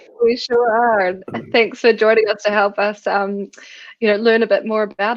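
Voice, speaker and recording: A woman's medium-pitched voice with a New Zealand accent and fairly even intonation. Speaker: co-founder and webinar host. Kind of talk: live webinar interview.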